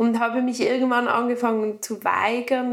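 This woman's voice is high in pitch, and she talks at a moderate pace. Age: 30s. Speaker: woman with endometriosis sharing her story. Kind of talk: personal interview conversation.

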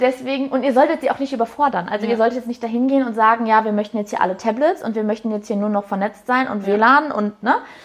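Over noticeable background noise, a woman talks very fast, with hardly any pauses. Her pitch is fairly high and varies in an ordinary way. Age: 20s. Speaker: head of HR and apprentice training. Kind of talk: interview. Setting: live video interview.

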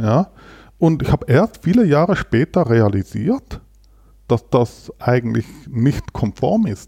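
A man's dark, mellow voice with vocal fry and very wide pitch swings, very slow with long, frequent pauses, in a dry, close sound with no echo. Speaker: company founder and president. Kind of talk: interview conversation. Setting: studio in Berlin.

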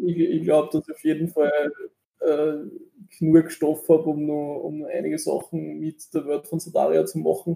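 A man speaks at a moderate pace, his loudness swinging widely. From Austria, Linz. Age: 30s. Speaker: game designer and computer science student. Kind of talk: interview. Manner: halting, many fillers.

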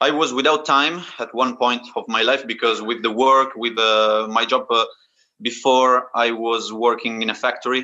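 With an Italian accent, a man talks at a medium pitch and a fairly slow pace. His tone is bright and sharp, his intonation fairly even, and the background quiet. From Italy. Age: 20s. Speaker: calisthenics athlete. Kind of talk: interview. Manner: halting.

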